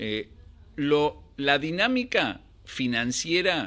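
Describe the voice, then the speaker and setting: Bright, sharp male voice with ordinary pitch variation on a very clean recording with a silent background. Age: 60s. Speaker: financial analyst. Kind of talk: interview. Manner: halting.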